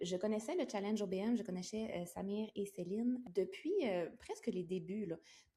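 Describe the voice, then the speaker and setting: In a Quebec accent, a woman speaks at a moderate pace with a dark, mellow tone, a medium pitch, ordinary pitch variation and a somewhat breathy quality. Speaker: entrepreneur, virtual assistant. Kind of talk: interview. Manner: hesitant fillers.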